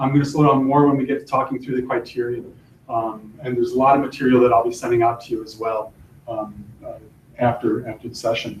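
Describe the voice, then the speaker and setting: A man's somewhat breathy, medium-pitched voice at a very fast pace, with fairly even intonation, big swings in loudness and audible room echo. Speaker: college faculty presenter. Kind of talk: workshop presentation. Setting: classroom, live streamed.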